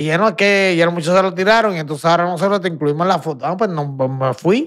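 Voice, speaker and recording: Against a quiet background, a man with a high pitch and ordinary pitch variation speaks at a very fast pace. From Puerto Rico. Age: 40s. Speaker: retired professional boxer; podcast guest. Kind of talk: casual interview chat. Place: studio. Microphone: studio mic.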